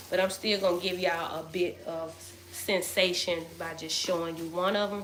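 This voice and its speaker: Speaking at a moderate pace, a woman with a fairly low pitch uses a monotone, flat intonation, with noticeable background noise and audible room echo. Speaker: hair product seller. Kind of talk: casual live stream. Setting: live stream. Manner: loud.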